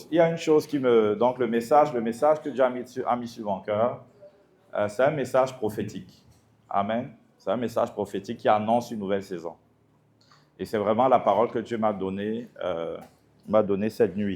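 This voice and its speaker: Speaking at a moderate pace with a medium pitch, a man uses ordinary pitch variation and long, frequent pauses. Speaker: pastor. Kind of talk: sermon.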